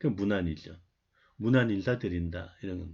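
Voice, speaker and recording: A man's fairly low, somewhat breathy voice against a quiet background. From Seoul area, family from North Gyeongsang. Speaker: university lecturer. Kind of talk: online lecture. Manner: conversational, with many filler sounds.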